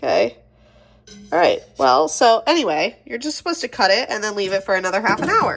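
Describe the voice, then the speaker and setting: A woman's voice with very wide pitch swings. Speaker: homesteader with dairy cow. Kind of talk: casual talk to camera. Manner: chatty, self-deprecating.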